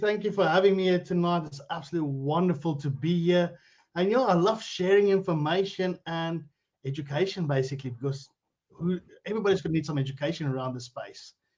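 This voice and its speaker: At a fairly quick pace, a man speaks with a South African accent and a fairly high pitch. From South Africa, Limpopo (Phalaborwa). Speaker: cryptocurrency educator. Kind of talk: interview on Facebook live stream. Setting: live video stream.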